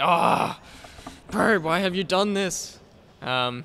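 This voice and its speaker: With an Australian accent, a man speaks at a fairly high pitch with ordinary pitch variation over noticeable background noise. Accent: mild Australian. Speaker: professional gamer. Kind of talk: casual interview.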